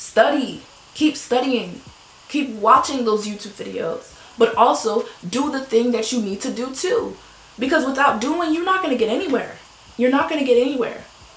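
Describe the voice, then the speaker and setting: A woman speaks at a high pitch with an animated tone and lively intonation. Noticeable background noise and audible room echo come through. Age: 20s. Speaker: lifestyle vlogger. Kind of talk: motivational talk. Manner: fast.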